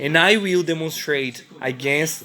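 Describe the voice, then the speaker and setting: A man with a non-native accent talks at a very slow pace, with a fairly high pitch and ordinary pitch variation. Noticeable background noise can be heard. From Brazil. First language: Portuguese. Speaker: vlogger. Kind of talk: personal testimony. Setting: hotel room. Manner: halting.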